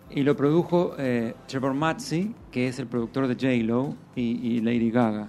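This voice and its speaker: A man talks in an ordinary speaking voice at medium pitch. He uses ordinary pitch variation and a fairly slow pace. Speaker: actor and singer. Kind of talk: casual interview.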